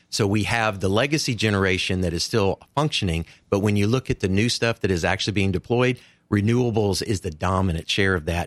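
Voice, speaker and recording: A man's fairly low voice in an East Tennessee accent, very fast, with ordinary pitch variation, in a very clean recording with a silent background and a dry, close sound with no echo. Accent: Southern US (East Tennessee). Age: 60s. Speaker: clean energy advocate. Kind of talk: interview.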